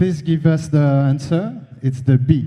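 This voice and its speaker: A man's somewhat breathy, dark and mellow voice with a strong French accent, fairly even intonation and audible room echo. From France. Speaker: conference speaker on the video game industry. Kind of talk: conference presentation. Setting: stage with audience. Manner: halting, many fillers.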